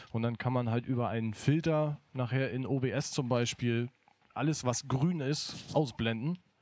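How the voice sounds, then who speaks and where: A man with an unremarkable speaking voice talks fairly slowly at a medium pitch, his intonation fairly even. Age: 20s. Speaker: event technician. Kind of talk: casual livestream chat. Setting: studio.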